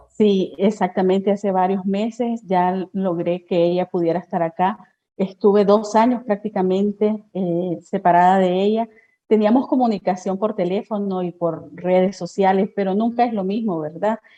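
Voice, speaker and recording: A woman speaks at a moderate pace in a medium pitch, her tone dark and mellow and her intonation fairly even. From Nicaragua. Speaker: journalist. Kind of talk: interview.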